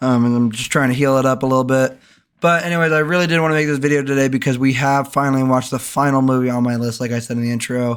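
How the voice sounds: A man talks at a fast pace at medium pitch, his tone clear, smooth and fairly bright, with little pitch movement. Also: very clean recording, silent background.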